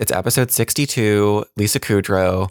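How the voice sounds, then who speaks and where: The recording is very clean, with a silent background and a dry, close sound with no echo. A man speaks at a medium pitch with an American accent. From New Jersey. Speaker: casting director. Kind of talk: casual interview chat.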